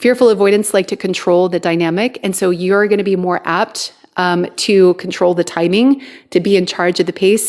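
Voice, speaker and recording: Speaking in a plain, everyday voice, a woman talks at a medium pitch. Her intonation is fairly even. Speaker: twin flame coach. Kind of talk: live stream talk. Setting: TikTok live stream.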